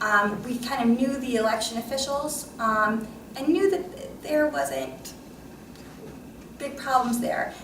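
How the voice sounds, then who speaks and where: Amid noticeable background noise and audible room echo, a woman with an American accent and a high pitch speaks with ordinary pitch variation and long, frequent pauses. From New York. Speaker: election monitoring lawyer. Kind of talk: conference panel talk. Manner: fast.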